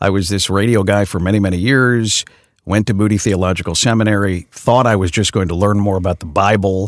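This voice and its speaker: Fairly quick and fairly low in pitch, a man talks with an American accent. His is an unremarkable speaking voice, with very even loudness and fairly even intonation. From Chicago area, US Midwest. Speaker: radio news anchor and pastor. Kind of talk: casual interview. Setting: studio.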